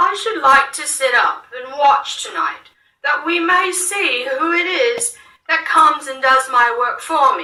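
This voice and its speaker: A put-on character voice, high in pitch, moves at a fairly slow pace. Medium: read story. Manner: gentle, earnest.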